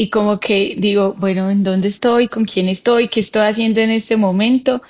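Her pitch is fairly high, with ordinary variation. The woman has a plain, everyday voice. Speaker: cyclist and cancer survivor. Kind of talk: casual interview conversation.

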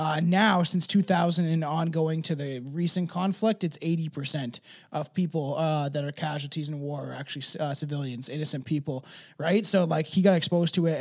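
At a fairly quick pace, a man with an American accent speaks in an ordinary speaking voice, fairly high in pitch, with fairly even intonation on a very clean recording with a silent background. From not the US, outside America. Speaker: co-host. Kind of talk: casual chat. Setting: early morning at home, drinking coffee and whiskey. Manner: joking, laid-back.

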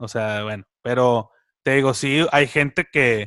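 Very slowly and with lively intonation, a man speaks in a dry, close sound with no echo on a very clean recording with a silent background. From Mexico, Monterrey area (San Nicolás de los Garza). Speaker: podcast co-host. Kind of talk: casual chat.

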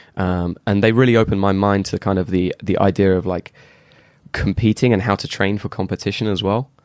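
Recorded dry and close with no echo, a man talks at a fairly quick pace with a fairly low pitch and fairly even intonation. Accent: English. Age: 30s. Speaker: martial arts athlete and instructor. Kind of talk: casual chat.

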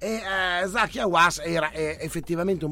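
Recorded very cleanly over a silent background, a man speaks at a moderate pace with a fairly high pitch, a bright, sharp tone and vocal fry. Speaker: radio host. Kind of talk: casual banter, live show. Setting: studio. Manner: animated, joking.

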